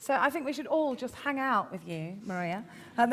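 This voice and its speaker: Raising and projecting her voice, a woman with a Midlands accent speaks at a moderate pace with very wide pitch swings over noticeable background noise. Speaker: event host. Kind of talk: casual interview.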